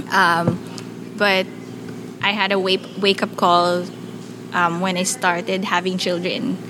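A woman speaks at medium pitch and a fairly slow pace against noticeable background noise. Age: 30s. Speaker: social entrepreneur. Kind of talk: interview. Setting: at her home.

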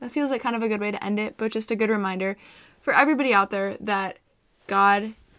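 Here a woman speaks at a very fast pace. Her pitch sits in the medium range. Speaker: podcast co-host. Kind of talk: casual chat. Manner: fast talker; animated.

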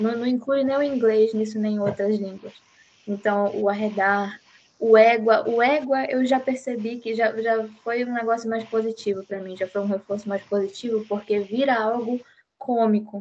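Fairly high pitch from a woman, with fairly even intonation at a moderate pace. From Belém, Pará, northern Brazil. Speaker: psychology student podcast host. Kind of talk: casual discussion.

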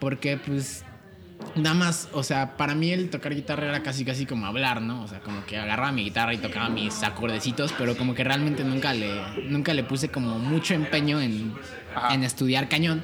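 Amid noticeable background noise, a man talks at a fairly quick pace and medium pitch with ordinary pitch variation. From Querétaro, Mexico. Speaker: singer-songwriter and music producer. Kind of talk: casual chat.

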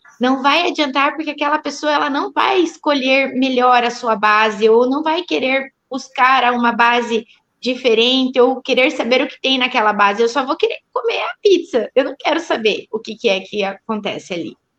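A woman's high voice at a moderate pace, lively in intonation, with hardly any pauses. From southern Brazil, Paraná. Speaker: physiotherapist. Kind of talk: casual chat.

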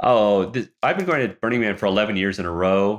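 A man talks in an ordinary speaking voice, fairly low in pitch, at a fairly quick pace. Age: 50s. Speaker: photographer and NFT artist. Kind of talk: interview conversation.

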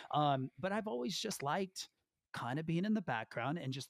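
A man at a moderate pace with lively intonation, in dry, close sound with no echo. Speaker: YouTube creator and former teacher. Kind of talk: casual interview chat. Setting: video call.

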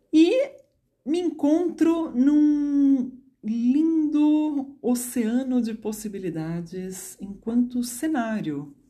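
A woman speaks at a very slow pace with a high pitch. Her tone is dark and mellow, and her pitch swings very widely. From Brazil, São Paulo. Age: 30s. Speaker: psychologist and dance therapist. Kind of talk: personal storytelling monologue. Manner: spontaneous, unscripted.

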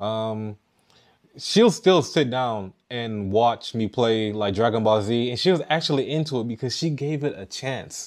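A man in an American accent talks at a fairly slow pace and medium pitch. His pitch varies in an ordinary way, over a quiet background. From US Midwest, Detroit. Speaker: podcaster and hip hop artist. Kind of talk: rant. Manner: sometimes mumbles words; careful enunciation.

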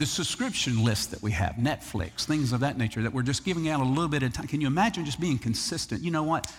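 With a Southern US accent, a man speaks in a fairly high, somewhat breathy, animated voice at a very fast pace with lively intonation and hardly any pauses, on a very clean recording with a silent background. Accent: Southern US (Georgia). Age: 50s. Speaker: pastor. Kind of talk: sermon. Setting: church.

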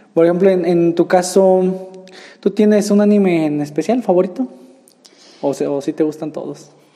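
Against noticeable background noise, a man speaks at a high pitch with ordinary pitch variation and long, frequent pauses. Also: moderate pace. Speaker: podcast host. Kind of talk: casual interview.

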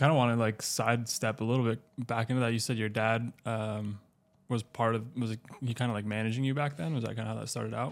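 A man's medium-pitched, monotone voice with flat intonation at a very fast pace. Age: 20s. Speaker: podcast co-host and motorcycle racer. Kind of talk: casual podcast interview. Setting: studio set up in a log cabin.

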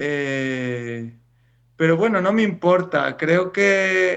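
At a very slow pace, a man speaks in a high voice. His pitch varies in an ordinary way. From Spain. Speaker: writer. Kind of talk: interview. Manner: hesitant, repeats words.

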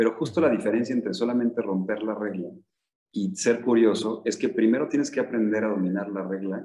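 A man speaks at a moderate pace. His fairly low pitch shows ordinary variation. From Mexico, Michoacán. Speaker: entrepreneur. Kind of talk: interview.

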